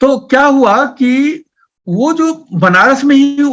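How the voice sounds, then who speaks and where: A man speaks in a Bihar accent. His voice is extremely high-pitched, with a bright, sharp tone. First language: Maithili (speaking Hindi). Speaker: poet and writer. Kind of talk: interview. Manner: halting.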